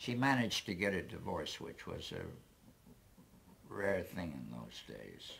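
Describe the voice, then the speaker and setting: A man's fairly low, vocal-fry voice at a fairly slow pace, with very wide pitch swings, big swings in loudness and long, frequent pauses. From Canada. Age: 70s. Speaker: amateur breakdancer. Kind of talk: interview answer.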